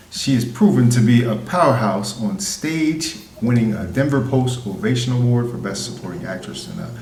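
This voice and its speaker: A man talks at a medium pitch and a moderate pace. Noticeable background noise runs underneath. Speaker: podcast host. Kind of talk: podcast intro.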